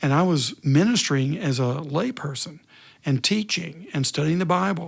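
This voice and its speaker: On a very clean recording with a silent background, a man uses a normal speaking voice, fairly high in pitch, with ordinary pitch variation. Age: 60s. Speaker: retired pastor. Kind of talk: interview.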